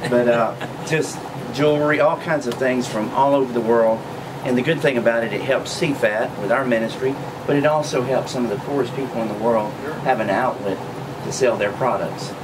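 A man at a fairly quick pace, with noticeable background noise. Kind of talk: interview answer. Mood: friendly, promotional. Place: shop.

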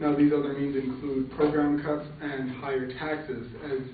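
A man speaks amid audible room echo. Light background noise is present. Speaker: speaker. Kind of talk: class speech, debate refutation. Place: classroom.

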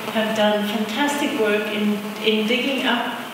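A woman talks at a moderate pace. Strong room echo and noticeable background noise surround her. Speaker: event host. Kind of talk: welcome speech introducing guests. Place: hall. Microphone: camera far.

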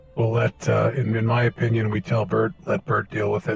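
A man uses a put-on character voice that is raspy and medium in pitch. He speaks at a moderate pace. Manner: terse, pragmatic.

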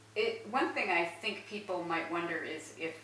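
A woman speaks with a fairly low pitch. There is audible room echo and light background noise. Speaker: newspaper managing editor. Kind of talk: interview questions. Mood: gentle, tender, quiet. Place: home room. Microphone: camera far.

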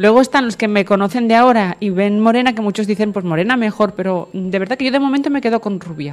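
Barely pausing, a woman talks at a very fast pace and a fairly high pitch with ordinary pitch variation. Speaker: radio host. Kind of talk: radio interview. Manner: energetic.

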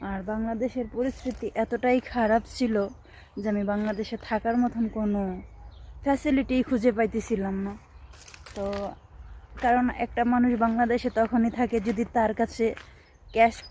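Her intonation is monotone and flat. The woman speaks with a fairly high pitch. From Bangladesh. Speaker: migrant domestic worker and vlogger. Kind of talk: personal vlog testimony. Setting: outdoors in a quiet place.

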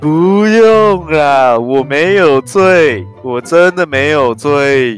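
A cartoonish character voice moves at a very slow pace with lively intonation. Clear music plays in the background. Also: man, fairly high pitch for a man. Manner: loud, cheeky, stubborn.

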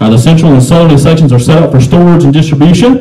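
Against a quiet background, a man with a fairly high pitch talks at a very fast pace with ordinary pitch variation. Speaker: auctioneer. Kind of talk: reading a property listing aloud before the sale. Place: hall.

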